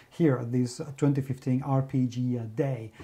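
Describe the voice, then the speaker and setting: His pace stays moderate. The man talks in a Spanish accent. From Spain. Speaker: game reviewer. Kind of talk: game review monologue. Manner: enthusiastic.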